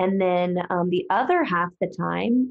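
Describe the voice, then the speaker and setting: A speaker with an American accent uses a normal speaking voice at a fairly slow pace with ordinary pitch variation. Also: woman. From US South. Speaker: podcast host. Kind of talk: casual monologue. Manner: casual, many fillers.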